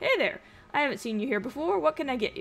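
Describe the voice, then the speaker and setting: Putting on a character voice, a woman talks very fast at a high pitch. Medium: game stream. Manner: flirtatious, playful.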